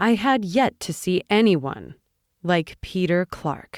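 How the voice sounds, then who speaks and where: A woman speaks with a strained, fairly low voice and lively intonation. The recording is very clean and dry, close with no echo, over a silent background. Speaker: audiobook narrator. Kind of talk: audiobook narration. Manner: restrained, slow-paced.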